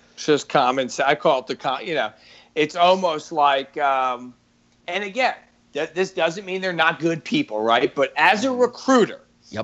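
With a New York accent, a man speaks at a moderate pace in a fairly high pitch that makes very wide swings. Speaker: recruiter and public speaker. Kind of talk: casual chat.

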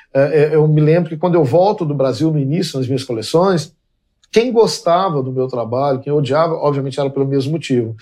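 Using a plain, everyday voice, a man talks at a fairly quick pace and a fairly high pitch, with ordinary pitch variation. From Minas Gerais, Belo Horizonte. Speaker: fashion designer. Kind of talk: casual chat. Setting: in a home.

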